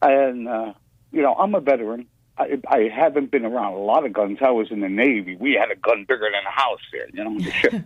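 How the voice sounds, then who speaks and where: A man talks at a fairly quick pace. His pitch is medium, with ordinary pitch variation. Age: 60s. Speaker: caller, Navy veteran and musician. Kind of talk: personal testimony. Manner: halting, repeating words.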